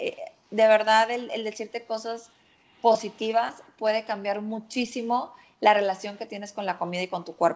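An ordinary speaking voice from a woman, fairly high in pitch, at a moderate pace with fairly even intonation and big swings in loudness, against a quiet background. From Mexico, Monterrey. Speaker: nutritionist. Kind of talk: casual chat.

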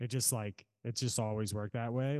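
A man with an American accent and a normal speaking voice, medium in pitch, at a moderate pace, with a dry, close sound, no echo and a quiet background. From Virginia, Norfolk. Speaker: drummer. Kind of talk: casual chat.

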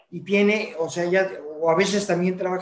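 There's audible room echo around a man whose voice sits at a high pitch. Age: 70s. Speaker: podcast co-host. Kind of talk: casual chat.

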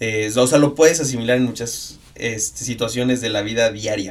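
The speaker is a man with a normal speaking voice. He has a medium pitch and a moderate pace. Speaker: sports photographer and triathlete. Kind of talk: casual chat.

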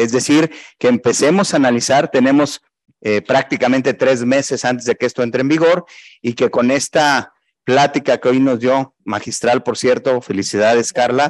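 A man with a plain, everyday voice speaks at a moderate pace, his intonation fairly even and his loudness very even, in a dry, close sound with no echo. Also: medium pitch for a man. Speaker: regional president of professional accountants' body. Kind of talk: closing remarks.

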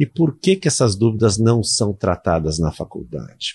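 A man speaks at a moderate pace with a fairly low, somewhat breathy voice and lively intonation, recorded with a dry, close sound with no echo against a quiet background. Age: 50s. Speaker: university lecturer and online course creator. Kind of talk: casual interview.

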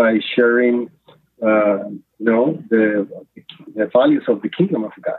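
Speaking in a Spanish accent, a man talks at a medium pitch. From Nicaragua. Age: 50s. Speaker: faith-based water program director. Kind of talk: podcast interview. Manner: halting, many fillers.

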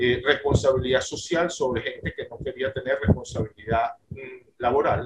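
A man talks at a moderate pace with hardly any pauses and big swings in loudness. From Venezuela. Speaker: businessman. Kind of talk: casual interview. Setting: video call. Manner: repetitive, halting.

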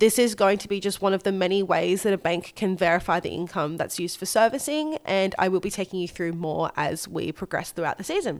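A woman speaks with an Australian accent at medium pitch. She goes at a fairly quick pace with hardly any pauses. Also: ordinary pitch variation. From Australia, Gold Coast. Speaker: mortgage broker and podcast co-host. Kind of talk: solo podcast case study explanation. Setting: remote recording away from home.

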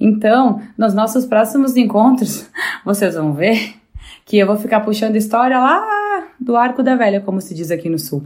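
A woman talks in an ordinary speaking voice, fairly high in pitch, at a moderate pace with ordinary pitch variation. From Rio Grande do Sul, Brazil (Bento Gonçalves). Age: 30s. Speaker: motivational contributor. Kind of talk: personal talk.

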